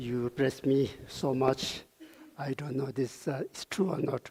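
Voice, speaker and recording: There is noticeable background noise as a man talks at a very slow pace, leaving long, frequent pauses. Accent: non-native. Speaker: Buddhist lama, meditation teacher. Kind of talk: conference talk.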